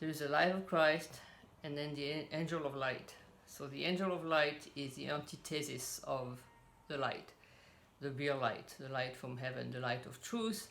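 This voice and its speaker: A woman with a French accent, very deep and low in pitch, relaxed in tone and ordinary in pitch variation, amid noticeable background noise and audible room echo. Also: moderate pace. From French; raised in Cameroon and South Pacific. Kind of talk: casual religious talk.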